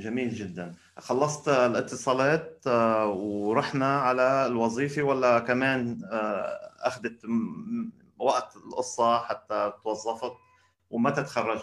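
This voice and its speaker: Very slow speech from a man, with ordinary pitch variation. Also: medium pitch for a man. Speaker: podcast host. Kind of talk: interview. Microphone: weak internet connection.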